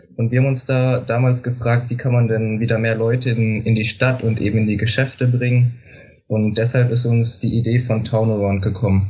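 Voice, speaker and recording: Somewhat breathy, a man of medium pitch talks at a moderate pace with monotone, flat intonation. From Lower Saxony, Germany. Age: 18. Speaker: student startup marketing lead. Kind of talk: interview.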